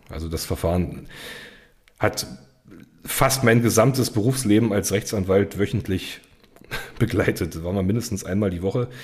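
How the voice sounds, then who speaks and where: Here a man with a fairly low pitch talks at a moderate pace with ordinary pitch variation. He leaves long, frequent pauses. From eastern Germany, Cottbus (Brandenburg). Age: 30s. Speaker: criminal defence lawyer. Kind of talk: interview conversation.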